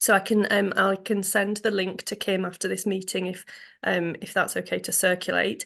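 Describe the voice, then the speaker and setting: A woman with an English accent at a medium pitch, using vocal fry and monotone, flat intonation at a moderate pace against a quiet background. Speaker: funding development officer. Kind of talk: online forum presentation. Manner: hesitant, many ums.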